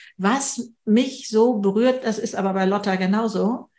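The voice is somewhat breathy, set against a quiet background. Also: woman. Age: 70s. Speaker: speaker and podcaster. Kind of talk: online panel conversation.

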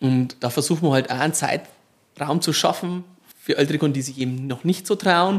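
In a very clean recording with a silent background, a man with a plain, everyday voice talks at a moderate pace, fairly high in pitch with ordinary pitch variation. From Marktredwitz area, Upper Franconia. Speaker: supermarket operator. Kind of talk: casual interview.

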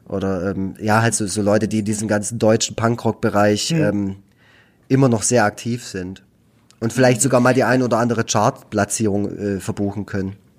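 On a very clean recording with a silent background, an unremarkable speaking voice carries fairly even intonation. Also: man, fairly low pitch for a man. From Baden-Württemberg, Germany (Nagold). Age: 30s. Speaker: cartoonist and youth care worker. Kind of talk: casual chat.

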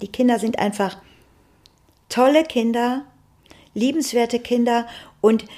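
Her voice is fairly high for a woman yet dark and mellow in tone. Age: 60s. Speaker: grandmother, housekeeping worker. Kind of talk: casual interview chat.

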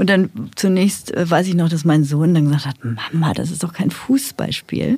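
Speaking at a moderate pace, a woman uses lively intonation at a fairly low pitch. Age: 50s. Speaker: funeral director and pastoral carer. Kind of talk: casual chat. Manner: halting.

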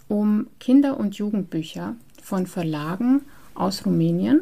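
Very slowly and with lively intonation, a woman talks in a dark, mellow tone. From Transylvania, Romania. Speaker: librarian and exhibition curator. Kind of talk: interview. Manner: hesitant, many fillers.

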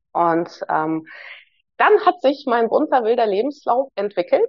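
A woman speaks with a Hamburg accent. Her pitch is high. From Hamburg, Germany (born in Moscow, moved at nine). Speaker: psychologist and leadership coach. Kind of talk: casual interview conversation.

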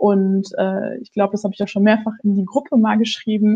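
The woman's voice is fairly high and somewhat breathy, and she talks at a moderate pace. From western Germany, Ruhr area (North Rhine-Westphalia). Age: 30s. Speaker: lawyer. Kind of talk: interview. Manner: halting, many fillers.

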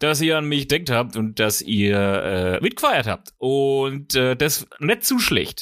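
On a very clean recording with a silent background, a man with a Franconian accent speaks at a fairly slow pace in a bright, sharp tone. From Franconia, near Nuremberg. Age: 30s. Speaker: podcast host. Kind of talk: casual monologue.

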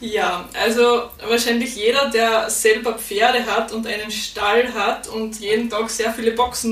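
A woman talks at a fairly slow pace in an Austrian accent, her intonation flat and monotone. Room echo is audible and background noise is noticeable. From Austria, Styria. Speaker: podcaster and horse stable owner. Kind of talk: interview.

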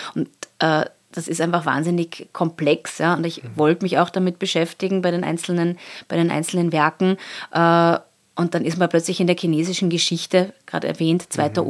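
A woman talks in a monotone, flat intonation. The recording is very clean, with a silent background. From Austria, Salzburg. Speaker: art curator. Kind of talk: interview.

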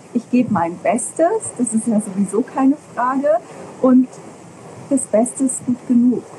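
Through noticeable background noise, a high-pitched woman speaks at a very slow pace with lively intonation. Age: 40s. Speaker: parenting podcaster and parent coach. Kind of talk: interview.

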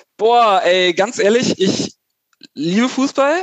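Speaking at a fairly slow pace, a man uses ordinary pitch variation. The sound is dry and close, with no echo. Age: 30s. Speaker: civil engineer. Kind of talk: casual chat.

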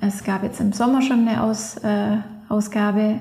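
A woman speaks in a monotone with flat intonation at a fairly high pitch. Noticeable background noise runs behind her. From Allgäu, southern Germany. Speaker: freeskier and filmmaker. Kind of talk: interview. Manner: halting, many fillers.

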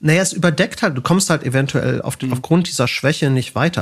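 A man's somewhat breathy voice, fairly high in pitch, with ordinary pitch variation. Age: 40s. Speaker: organizational psychology professor. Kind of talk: casual interview.

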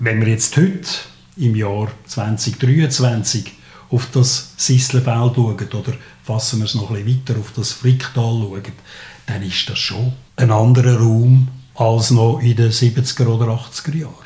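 A man with a Swiss accent speaks at a very slow pace and a medium pitch, with fairly even intonation. Noticeable background noise runs throughout. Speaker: podcast host. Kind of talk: interview.

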